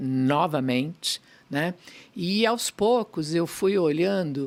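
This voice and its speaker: This woman's voice is very deep and low in pitch. She speaks at a very slow pace with lively intonation. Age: 60s. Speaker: pediatrician and pharmaceutical executive. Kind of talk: podcast interview.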